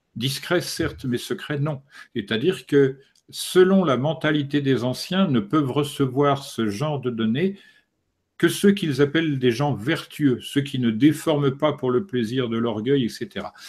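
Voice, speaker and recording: Against a quiet background, a man speaks fairly slowly in a fairly high voice with ordinary pitch variation, an ordinary speaking voice. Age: 60s. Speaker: esoteric author; interviewee. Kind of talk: interview. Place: home room. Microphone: studio mic.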